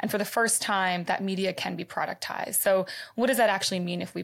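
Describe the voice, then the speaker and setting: Talking at a very fast pace, a woman with a medium pitch and vocal fry comes through on a very clean recording with a silent background. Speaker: startup founder. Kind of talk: casual interview chat. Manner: enthusiastic, animated.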